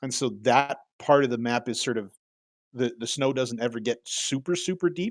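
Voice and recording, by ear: The words are read aloud naturally. No noise intrudes from the surroundings.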